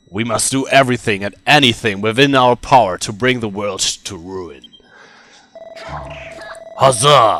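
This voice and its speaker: Sound effects play in the background as a man in a put-on character voice speaks at medium pitch and a moderate pace with long, frequent pauses. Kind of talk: reading game dialogue aloud in character.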